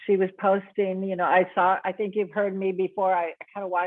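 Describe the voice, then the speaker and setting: At a moderate pace, a woman speaks in a medium pitch with monotone, flat intonation. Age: 60s. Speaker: network marketing distributor and piano teacher. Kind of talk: testimony. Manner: rambling, self-interrupting.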